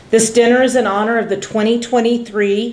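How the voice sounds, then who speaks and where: Speaking at a moderate pace, a woman with a fairly high pitch is heard against audible room echo. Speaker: college department chair. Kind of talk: formal welcome speech. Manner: loud.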